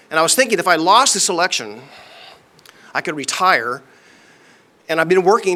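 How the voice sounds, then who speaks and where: A man with a high pitch speaks in a bright, sharp tone with lively intonation. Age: 60s. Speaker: county commissioner. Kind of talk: acceptance speech. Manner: halting, repeats words.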